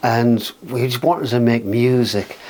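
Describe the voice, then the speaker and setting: A man speaks with a Geordie accent. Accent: Geordie, lilting. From northern England, North Shields near Newcastle. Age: 60s. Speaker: musician. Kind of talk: casual chat.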